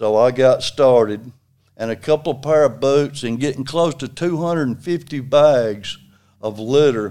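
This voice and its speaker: Over a very clean recording and silent background, a man with an Alabama accent speaks at a moderate pace. His tone is dark and mellow, with ordinary pitch variation. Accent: Alabama Southern. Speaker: retired construction worker and litter volunteer. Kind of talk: casual interview.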